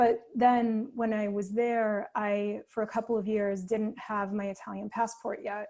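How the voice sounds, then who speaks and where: With an American accent, the voice has a dark, mellow tone and a monotone, flat intonation on a very clean recording with a silent background. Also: woman. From New York. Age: 40s. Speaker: artist. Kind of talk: casual chat.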